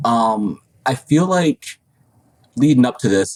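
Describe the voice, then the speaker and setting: The man talks with lively intonation. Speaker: podcast co-host interviewing farmers. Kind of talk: casual roundtable chat. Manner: halting with repeated words.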